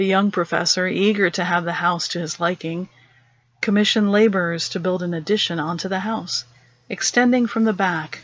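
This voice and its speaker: A woman speaks in an ordinary speaking voice at a medium pitch. Her intonation is fairly even. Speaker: storyteller. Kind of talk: horror story narration.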